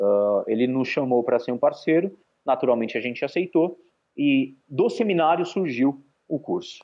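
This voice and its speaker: This man's voice sits fairly high in pitch, with lively intonation. He talks at a moderate pace. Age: 30s. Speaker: football education entrepreneur. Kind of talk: interview. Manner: halting, many fillers.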